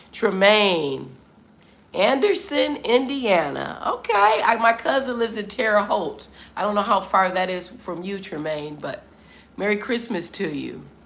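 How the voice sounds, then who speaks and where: A woman with an American accent, an animated tone and lively intonation at a fairly slow pace, amid audible room echo. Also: medium pitch for a woman. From US Midwest, Detroit, Michigan. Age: 50s. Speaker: travel vlogger. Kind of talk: live stream chat with viewers.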